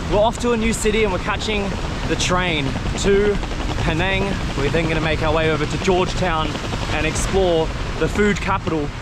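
Someone talks at a fairly quick pace with ordinary pitch variation, the dry sound carrying no echo over loud background noise. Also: man. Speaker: travel vlogger. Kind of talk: casual vlog chat. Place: street. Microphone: phone near.

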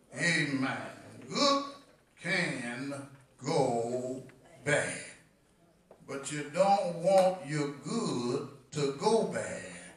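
With audible room echo, a man talks at a very slow pace with lively intonation and long, frequent pauses. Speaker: preacher. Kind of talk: sermon. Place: church.

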